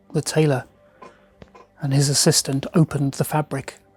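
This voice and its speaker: A man at a fairly slow pace, monotone and flat, with a dry, close sound, no echo, and music in the background. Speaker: magician and storyteller. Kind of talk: storytelling narration to camera.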